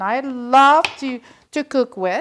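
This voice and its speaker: Over light background noise, a woman speaks at a high pitch with ordinary pitch variation. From Belgium. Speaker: cooking show host. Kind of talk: cooking tutorial. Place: kitchen.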